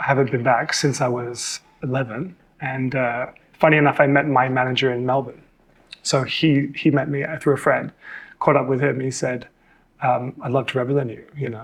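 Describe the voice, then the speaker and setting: With an Australian accent, a man of medium pitch speaks at a moderate pace in a monotone, flat intonation. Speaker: model and TV presenter. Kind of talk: casual interview chat.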